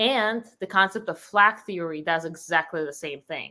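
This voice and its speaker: A woman with a Russian accent speaks at a fairly low pitch in a bright, sharp tone with fairly even intonation. The recording is very clean, with a silent background. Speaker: company founder. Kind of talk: interview.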